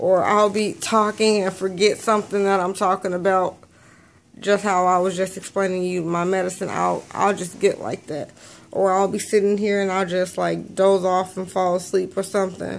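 Monotone and flat, a woman talks. Her pace is moderate. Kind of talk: casual vlog chat. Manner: slow, drowsy, slurred medicated voice. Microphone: phone near.

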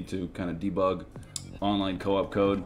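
There is light background noise. A man speaks at a fairly low pitch. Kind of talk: tutorial.

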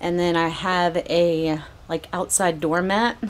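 In a normal speaking voice with ordinary pitch variation, someone speaks over light background noise. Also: woman. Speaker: RV remodel vlogger. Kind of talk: casual vlog chat. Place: garage. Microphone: phone near.

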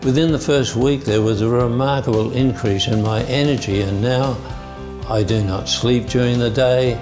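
Clear music plays in the background while a man speaks at a moderate pace. His pitch is medium and his intonation fairly even. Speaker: Parkinson's patient. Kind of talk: testimonial to camera. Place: office. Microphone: lapel.

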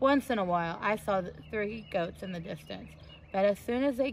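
Text read aloud, natural voice

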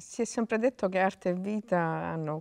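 A woman's voice against a quiet background. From Sicily. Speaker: playwright. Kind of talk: interview. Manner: halting. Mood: thoughtful, earnest. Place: hall.

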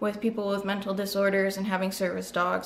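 A woman talks at a fairly quick pace in a monotone, flat intonation. Light background noise is present. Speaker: vlogger. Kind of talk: casual vlog chat. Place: home room. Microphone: webcam.

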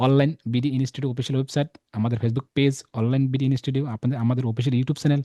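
The voice has a dark, mellow tone, is somewhat breathy, and keeps fairly even intonation, recorded with a dry, close sound and no echo. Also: man. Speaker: online course instructor and channel host. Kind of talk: sales pitch; interview.

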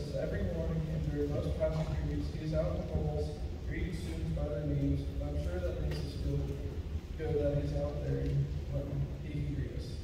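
A man talks at a fairly quick pace amid loud background noise, with audible room echo. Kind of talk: graduation speech. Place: hall.

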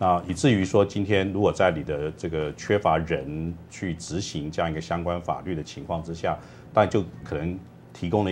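With light background noise behind him, a man talks at a moderate pace in a very deep, low voice with ordinary pitch variation. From Taiwan. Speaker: labor studies professor; guest. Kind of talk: TV panel discussion. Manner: halting, many fillers. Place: studio.

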